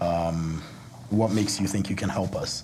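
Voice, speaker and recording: The room echo is audible and the background noise is noticeable as a man talks at a moderate speed. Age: 30s. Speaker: entrepreneur. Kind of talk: panel discussion.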